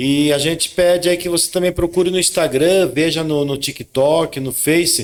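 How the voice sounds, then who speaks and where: Hardly pausing, a man with an interior São Paulo accent talks at a moderate pace in a high pitch with fairly even intonation. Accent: Sorocaba interior São Paulo. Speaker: podcast co-host, lawyer. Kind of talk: casual chat.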